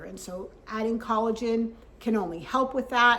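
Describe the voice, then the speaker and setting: A woman uses an ordinary speaking voice, keeping her intonation fairly even at a fairly slow pace. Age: 60s. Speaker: health vlogger. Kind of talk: vlog talk to camera.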